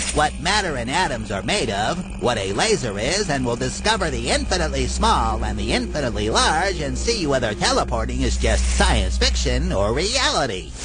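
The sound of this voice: Loud music plays behind a man using a cartoonish character voice at a moderate pace.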